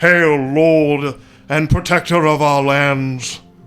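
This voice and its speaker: A man uses a put-on character voice, booming and fairly high-pitched, at a very slow pace. Faint music plays in the background. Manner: formal, reverent.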